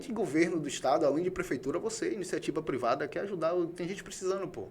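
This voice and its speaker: Noticeable background noise sits behind the voice. A man speaks at a very fast pace with a high pitch. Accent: Bahian. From Bahia, Brazil (Salvador). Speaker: podcast host. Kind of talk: casual interview chat. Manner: animated, conversational.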